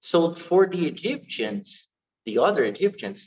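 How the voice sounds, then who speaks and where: Speaking at a fairly slow pace with an Portuguese accent, a man makes very wide pitch swings. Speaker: dance teacher. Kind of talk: online lecture. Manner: halting.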